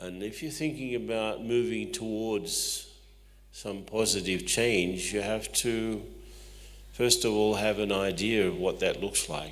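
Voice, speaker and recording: A man with an Australian accent speaks, and the room echo is audible. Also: fairly slow pace. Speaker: spiritual teacher and management consultant. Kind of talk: talk to audience.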